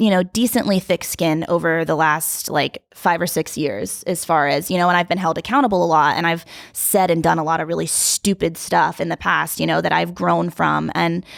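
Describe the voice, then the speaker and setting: With vocal fry and hardly any pauses, a woman talks at a fairly low pitch with ordinary pitch variation, the sound dry and close with no echo. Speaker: reality TV contestant. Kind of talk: casual chat. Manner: loud; talkative, fast.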